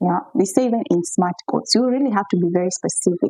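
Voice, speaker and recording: A woman speaks loudly, her pitch swinging very widely. The sound is dry and close, with no echo. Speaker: relationship coach. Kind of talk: monologue to camera answering viewer questions. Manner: loud, talkative.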